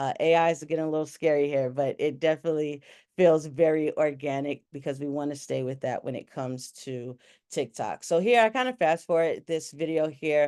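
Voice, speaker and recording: Against a quiet background, a woman speaks with a very deep, low pitch and a dark, mellow tone. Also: ordinary pitch variation. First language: Spanish. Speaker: tech company partnerships manager presenting. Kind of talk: webinar presentation. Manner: casual, many fillers.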